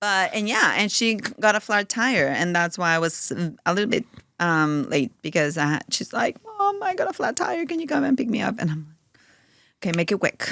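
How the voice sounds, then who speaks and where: A woman with a Spanish accent talks at a moderate pace and a medium pitch. Her tone is bright and sharp, with very wide pitch swings. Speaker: mother of four, podcast guest. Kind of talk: casual chat.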